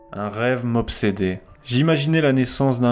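Music plays in the background as a man speaks at a medium pitch and a fairly slow pace, with ordinary pitch variation. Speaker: audiobook narrator. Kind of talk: literary audiobook reading, written first-person prose read aloud. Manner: measured, contemplative, reflective literary delivery.

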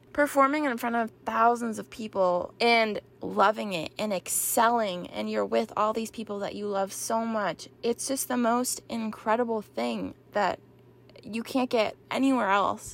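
Here is a woman with an ordinary speaking voice and a fairly high pitch. She goes at a fairly slow pace with fairly even intonation. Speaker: former drum corps performer. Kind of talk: casual interview.

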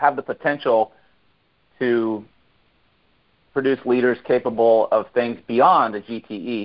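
A man speaks in a medium pitch. His pace is fairly slow. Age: 40s. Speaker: fitness event leader. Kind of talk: casual chat. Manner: halting.

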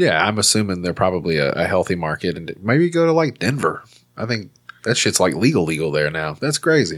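A man with a Southern US accent speaks at a fairly quick pace. His very deep, low voice swings very widely in pitch. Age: 30s. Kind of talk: casual comedic banter. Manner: joking, crude.

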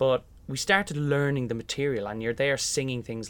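With ordinary pitch variation around a medium pitch, a man delivers his words at a moderate pace. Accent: Irish. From Ireland, County Meath. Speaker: musical theatre actor. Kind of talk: interview. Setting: sound booth above theatre stage.

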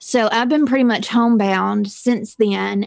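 A woman speaks in a Southern US accent. Her pitch is fairly high. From Mississippi. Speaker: true crime podcaster. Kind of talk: casual interview chat. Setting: video call. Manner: talkative.

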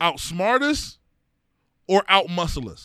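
A high-pitched man with an American accent, an animated, bright, sharp tone and a raised, projected voice, on a very clean recording with a silent background. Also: dry, close sound with no echo. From East Cleveland, Ohio. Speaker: podcast co-host. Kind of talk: casual chat.

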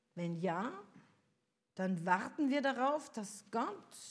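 Her pitch swinging very widely, a woman talks in a somewhat breathy voice. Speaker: preacher. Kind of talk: sermon. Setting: church. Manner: rhetorical, earnest, pastoral; measured, warm, reflective.

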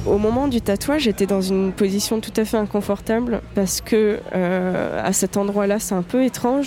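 Against noticeable background noise, a woman of medium pitch speaks at a moderate pace with ordinary pitch variation. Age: 20s. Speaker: tattoo enthusiast interviewee. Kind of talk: personal storytelling monologue. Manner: casual with frequent hesitations.

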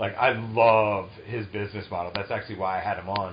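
An American accent on a somewhat breathy voice. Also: man. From Massachusetts (Taunton, near Providence). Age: 30s. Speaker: podcast host. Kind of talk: casual chat.

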